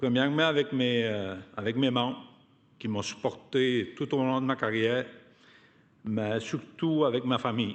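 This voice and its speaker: A man talks at a very slow pace in a strong Côte-Nord Quebec accent. His pitch sits in the medium range. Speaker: union activist, award recipient. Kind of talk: acceptance speech. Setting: hall with audience. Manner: halting, many repetitions and hesitations.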